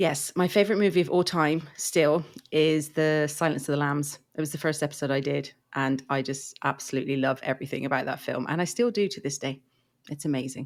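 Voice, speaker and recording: In an English accent, a woman with a very deep, low pitch and ordinary pitch variation speaks at a fairly quick pace on a very clean recording with a silent background. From England. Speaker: podcaster. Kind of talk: casual chat.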